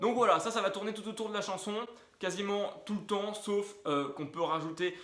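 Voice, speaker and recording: Speaking at a moderate pace with ordinary pitch variation, the voice carries audible room echo over noticeable background noise. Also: man. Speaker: guitar teacher. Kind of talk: tutorial.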